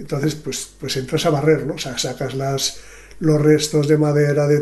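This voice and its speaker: A man talks at a fairly slow pace with a fairly high pitch. His intonation is fairly even, and there is noticeable background noise. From Spain, Sanabria (Zamora). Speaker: retired gravedigger. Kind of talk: interview. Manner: halting.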